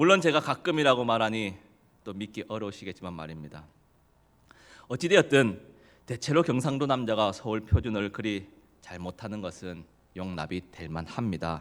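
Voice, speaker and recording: With a slight Gyeongsang accent, a man speaks at a fairly low pitch, his voice swinging very widely in pitch and greatly in loudness, with long, frequent pauses. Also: moderate pace. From South Korea, Gyeongsang region. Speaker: preacher. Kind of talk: sermon. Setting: church.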